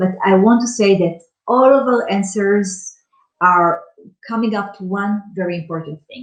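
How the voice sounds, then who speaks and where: An ordinary speaking voice from a woman, medium in pitch with ordinary pitch variation, fairly slow in pace, with big swings in loudness. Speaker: startup founder pitching company. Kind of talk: startup pitch presentation.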